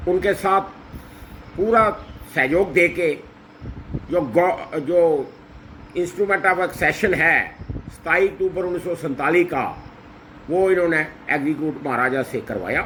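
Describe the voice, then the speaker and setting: Amid noticeable background noise, a man with a high pitch and ordinary pitch variation talks with long, frequent pauses. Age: 60s. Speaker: social commentator. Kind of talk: condolence address.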